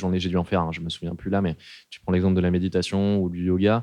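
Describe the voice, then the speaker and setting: A man's very deep, low voice at a very fast pace. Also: dry, close sound with no echo. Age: 20s. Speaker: engineer sharing depression story. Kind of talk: testimony. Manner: casual, hesitant with fillers.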